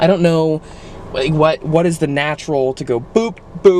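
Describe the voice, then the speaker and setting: Noticeable background noise surrounds this man. His pitch is fairly high, with ordinary pitch variation. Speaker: vlogger. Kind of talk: casual vlog. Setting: restaurant.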